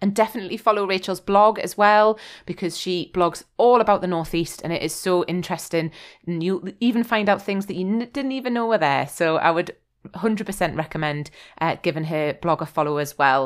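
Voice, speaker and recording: On a very clean recording with a silent background, a woman speaks at a fairly quick pace. An unremarkable speaking voice, medium in pitch, with ordinary pitch variation. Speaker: podcast host. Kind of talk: casual interview chat.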